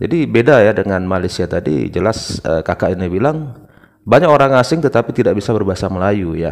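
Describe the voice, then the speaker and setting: Speaking at a very fast pace, a man uses a fairly low pitch with very wide pitch swings. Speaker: reaction video host. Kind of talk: video reaction commentary.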